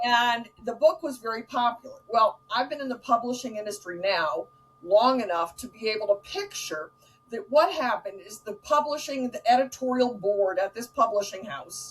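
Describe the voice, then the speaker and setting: Amid noticeable background noise, a woman speaks at a fairly high pitch and moderate pace, with lively intonation and big swings in loudness. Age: 60s. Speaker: author and speaker. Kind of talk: casual chat.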